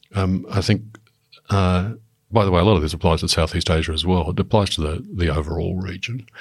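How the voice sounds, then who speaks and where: A man with an Australian accent, a very deep, low pitch, a somewhat breathy voice and fairly even intonation, on a very clean recording with a silent background. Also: fairly quick pace. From Papua New Guinea (Australian expatriate upbringing). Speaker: former diplomat. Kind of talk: expert panel discussion. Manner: hesitant, many fillers and restarts.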